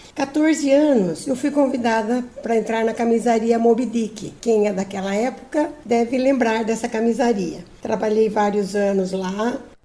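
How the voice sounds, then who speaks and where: Ordinary pitch variation at a fairly slow pace, with noticeable background noise. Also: woman, fairly high pitch for a woman, hardly any pauses. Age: 70s. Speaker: retired teacher. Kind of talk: personal testimony. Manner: some hesitations and repeated words.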